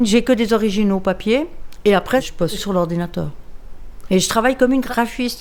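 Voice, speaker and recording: A woman with a plain, everyday voice keeps a moderate pace and ordinary pitch variation in a very clean recording over a silent background. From Switzerland, Lausanne (Vaud). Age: 60s. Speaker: comic book artist. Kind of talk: documentary interview. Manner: casual, slangy.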